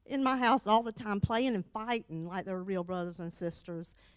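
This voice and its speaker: A woman speaks in an animated tone with ordinary pitch variation. The recording is very clean, with a silent background. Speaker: church member, board member's wife. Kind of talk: tribute speech. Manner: loud.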